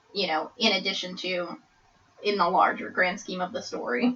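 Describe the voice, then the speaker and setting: A woman talking at a moderate pace is heard against noticeable background noise. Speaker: podcast discussion participant. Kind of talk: casual chat. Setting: small room recording. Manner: loud; animated. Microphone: far from the mic.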